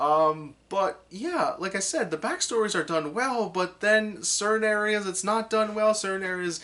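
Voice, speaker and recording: A man speaks at a moderate pace, his pitch varying in an ordinary way. Noticeable background noise can be heard in the recording. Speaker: anime reviewer. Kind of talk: unscripted video review. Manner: halting, many fillers and restarts.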